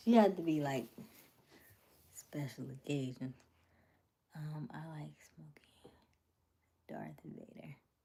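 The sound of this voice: Slow and full of long, frequent pauses, a woman speaks at a low pitch in a dark, mellow tone with vocal fry. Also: ordinary pitch variation.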